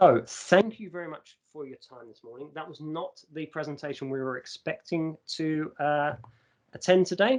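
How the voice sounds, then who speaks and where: A man with an English accent, fairly high in pitch, at a moderate pace, with ordinary pitch variation and big swings in loudness. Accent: received pronunciation. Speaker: university staff presenter. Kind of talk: conference presentation. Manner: impromptu, with frequent fillers.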